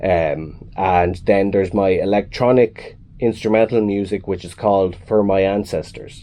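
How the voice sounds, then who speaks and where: A man speaks with a Kilkenny accent at a fairly low pitch. His tone is dark and mellow, his intonation fairly even. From Ireland, Kilkenny. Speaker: musician. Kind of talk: radio interview.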